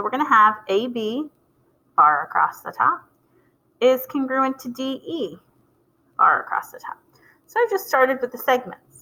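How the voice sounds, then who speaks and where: A woman with a high pitch in a raised, projected voice, bright and sharp in tone, lively in intonation, with big swings in loudness, a moderate pace and long, frequent pauses. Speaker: math teacher. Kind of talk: video lecture.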